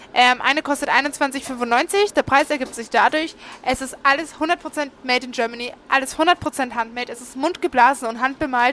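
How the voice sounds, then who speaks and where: Over noticeable background noise, a woman talks at a moderate pace with hardly any pauses, her high pitch showing ordinary pitch variation and her loudness swinging widely. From Franconia, Nuremberg. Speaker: podcast host. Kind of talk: sales pitch; casual chat.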